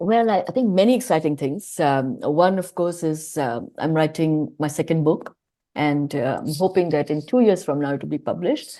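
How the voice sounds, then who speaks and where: At a moderate pace, a woman talks with lively intonation, a very deep, low pitch and a dark, mellow tone. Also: quiet background. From India. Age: 50s. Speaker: author and public speaker. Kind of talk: podcast interview.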